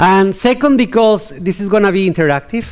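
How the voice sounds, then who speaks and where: A man speaks with a Latin American accent. His pace is fairly quick. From Colombia. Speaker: keynote speaker. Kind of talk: conference keynote. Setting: stage with audience. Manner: animated.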